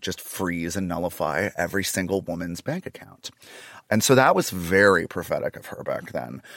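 With an unremarkable speaking voice, a man talks at a moderate pace using lively intonation. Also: dry, close sound with no echo. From Canada. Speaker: comedian. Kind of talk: casual chat. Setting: in person studio.

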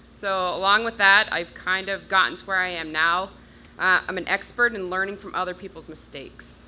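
A woman speaks fairly quickly at medium pitch, in a normal speaking voice. Her loudness swings widely. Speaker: audience member asking a question. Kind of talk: live Q&A question. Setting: stage with audience.

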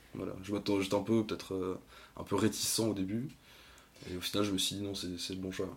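A man speaks at a moderate pace with fairly low pitch and a flat, monotone delivery. Long pauses break up his speech often. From Brittany, France (Lorient). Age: 20s. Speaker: podcast guest. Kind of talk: casual interview.

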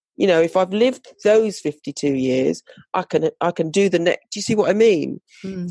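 A woman with a British accent speaks at a moderate pace in a medium-pitched, dark, mellow tone with lively intonation. The sound is dry and close, with no echo. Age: 50s. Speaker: fashion designer and speaker. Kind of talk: interview about personal story. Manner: halting, with many fillers.

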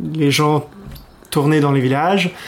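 A man speaks in a monotone, flat delivery at a fairly high pitch. Noticeable background noise is present. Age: 30s. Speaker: expat guest sharing home cuisine. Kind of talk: casual interview. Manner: halting, many fillers.

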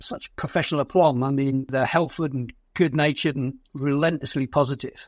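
Fairly high-pitched man in a British accent, moderate pace and fairly even intonation, on a very clean recording with a silent background. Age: 60s. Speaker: war veteran. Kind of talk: interview.

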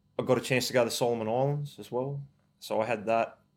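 A man's monotone, flat delivery in a rural Australian accent. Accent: broad rural Australian. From Australia, rural New South Wales. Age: 40s. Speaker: army veteran. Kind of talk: interview.

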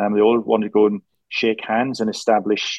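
At a fairly quick pace, a man talks in a monotone, flat delivery at medium pitch. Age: 50s. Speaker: former royal protection officer and security consultant. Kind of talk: interview conversation. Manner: halting with frequent repetitions.

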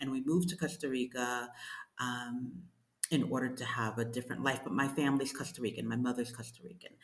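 In a New York accent, a woman speaks with a very deep, low pitch. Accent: New York American. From US Northeast, Brooklyn New York. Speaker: writer and coach. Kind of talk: interview.

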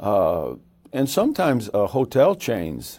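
A man with an American accent at a very slow pace, in a very clean recording with a silent background. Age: 70s. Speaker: evangelist. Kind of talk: interview. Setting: studio.

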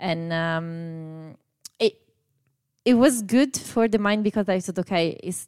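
A woman with an Italian accent and a fairly low pitch speaks at a fairly slow pace, the sound dry and close with no echo on a very clean recording with a silent background. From Italy. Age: 30s. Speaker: amateur runner. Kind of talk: casual chat.

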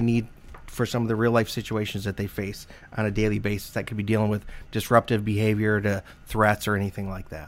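Using a normal speaking voice, a man talks at a fairly quick pace and a medium pitch. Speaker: hospital security associate director. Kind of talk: interview.

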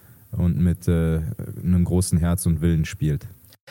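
A man's very deep, low voice with a dark, mellow tone at a moderate pace. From Germany, Duisburg (Ruhr area). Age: 30s. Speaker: professional ice hockey player. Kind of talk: interview.

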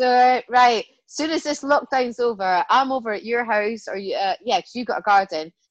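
Delivered with a Scottish accent at a moderate pace, the speech has lively intonation, hardly any pauses, and a dry, close sound with no echo. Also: woman, high pitch for a woman. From Scotland. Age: 40s. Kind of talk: casual chat.

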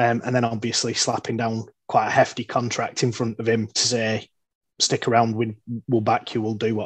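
Monotone, flat intonation at a moderate pace, in a Lancashire accent. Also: man. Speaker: football fan pundit. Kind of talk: casual chat.

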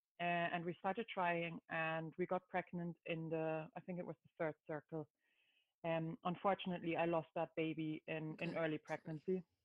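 A woman with a German accent speaks at a moderate pace. Her fairly low voice has a monotone, flat intonation. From Germany. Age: 30s. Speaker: new mother. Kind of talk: casual chat.

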